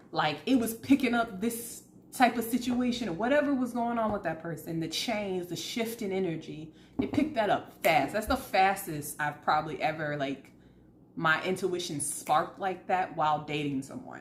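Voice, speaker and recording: In an American accent, the speaker sounds somewhat breathy and animated, with very wide pitch swings. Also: woman, medium pitch for a woman, moderate pace. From US South. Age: 30s. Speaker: tarot reader. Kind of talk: casual chat.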